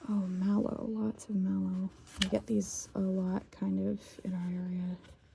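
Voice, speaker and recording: Soft-spoken, the voice moves at a very slow pace. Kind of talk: casual talk to camera, ASMR rambling.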